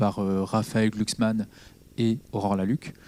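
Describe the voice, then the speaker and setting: Fairly low-pitched man's voice, dark and mellow in tone, at a moderate pace with fairly even intonation. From Normandy, France (Caen, Calvados). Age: 30s. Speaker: politician. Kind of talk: public talk. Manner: halting, many fillers.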